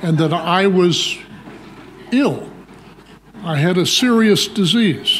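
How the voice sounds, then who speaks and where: Audible room echo surrounds a man whose high-pitched voice has lively intonation. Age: 80s+. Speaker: nephrology professor. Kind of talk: lecture. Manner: authoritative.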